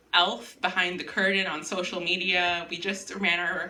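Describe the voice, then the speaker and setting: The voice moves at a moderate pace, and room echo is audible. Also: woman. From US, Miami (immigrated at age five). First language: Spanish. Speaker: writer. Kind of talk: casual chat; reading aloud.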